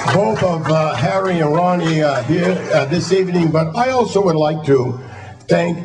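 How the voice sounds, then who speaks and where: A man with an American accent talks fairly slowly in a fairly high voice. Music plays behind him, and the room echo is audible. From Massachusetts. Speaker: retired football coach. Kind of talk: award acceptance speech. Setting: hall of fame ceremony before audience. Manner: halting, many fillers and repeated words.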